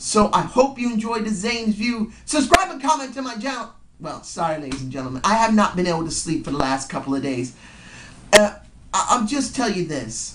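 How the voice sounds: The voice has a fairly bright tone and big pitch swings at a fairly quick pace. Audible room echo surrounds it.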